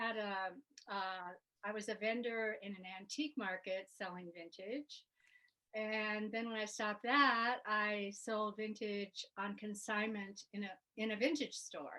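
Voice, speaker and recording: The voice has a bright, sharp tone, fairly even intonation and a fairly slow pace. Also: woman, fairly high pitch for a woman. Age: 70s. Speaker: style influencer, retired psychiatric nurse. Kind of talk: interview. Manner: halting.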